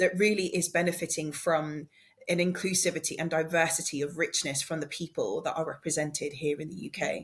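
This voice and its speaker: A woman's fairly low, somewhat breathy voice in a monotone, flat intonation at a fairly quick pace. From South Africa, Cape Town; moved to UK as child or youth. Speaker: podcast co-host, diversity and inclusion practitioner. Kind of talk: casual conversational podcast chat.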